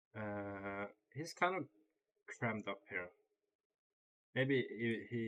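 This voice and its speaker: Using ordinary pitch variation, a man with a non-native accent and a fairly low pitch speaks with long, frequent pauses. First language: not English. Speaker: chess streamer. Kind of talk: live game commentary. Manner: halting, thinking aloud.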